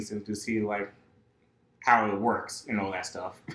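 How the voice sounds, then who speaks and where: Audible room echo surrounds a man speaking at a moderate pace and a fairly low pitch. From North Carolina (born in New York). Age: 20s. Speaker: college student, game developer; podcast guest. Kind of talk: casual interview. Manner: halting, many fillers. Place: home room. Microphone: camera far.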